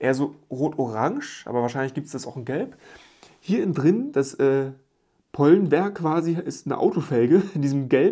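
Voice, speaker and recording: With a quiet background, a man talks at a moderate pace with a fairly high pitch, lively intonation and a dark, mellow tone. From Germany, rural village. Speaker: YouTube Lego reviewer; toy reviewer. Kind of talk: product review video. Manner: casual, chatty. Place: home room.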